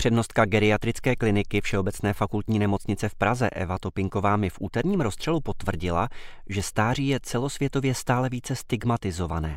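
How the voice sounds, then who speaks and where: In a very clean recording with a silent background, a man with fairly low pitch and an unremarkable speaking voice talks fairly quickly, with ordinary pitch variation and hardly any pauses. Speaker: newspaper commentator. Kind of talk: scripted commentary reading.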